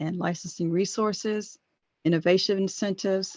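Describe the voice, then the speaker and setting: A woman of medium pitch with fairly even intonation. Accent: American. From US South, Chesapeake, Virginia. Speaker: government patent office presenter. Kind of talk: webinar presentation. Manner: fast.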